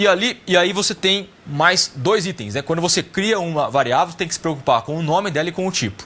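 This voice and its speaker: A man talks fairly quickly at a high pitch, his tone bright and sharp and his intonation lively. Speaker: programming teacher. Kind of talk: lecture.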